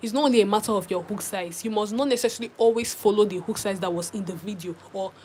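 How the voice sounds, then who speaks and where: Against noticeable background noise, a woman at medium pitch talks at a fairly quick pace with ordinary pitch variation. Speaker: crochet tutorial creator. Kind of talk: live stream tutorial chat. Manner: fast.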